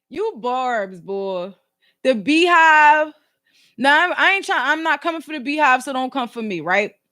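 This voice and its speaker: In a very clean recording with a silent background, a woman speaks at a fairly slow pace in a high, bright, sharp, raised and projected voice, animated in tone, with very wide pitch swings and big swings in loudness. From Philadelphia, US. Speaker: YouTuber and podcast host. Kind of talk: casual chat.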